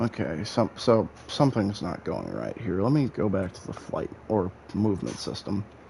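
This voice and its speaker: With an American accent, a man speaks at a moderate pace in a fairly low pitch, using lively intonation and big swings in loudness, with hardly any pauses. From Illinois, US Midwest. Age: 20s. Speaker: gaming streamer. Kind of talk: live gameplay commentary. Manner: animated.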